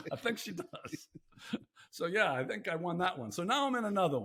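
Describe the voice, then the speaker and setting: A man speaks at a fairly quick pace in a raised, projected voice, high-pitched and bright and sharp, with very wide pitch swings. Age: 60s. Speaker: podcast host. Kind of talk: casual chat.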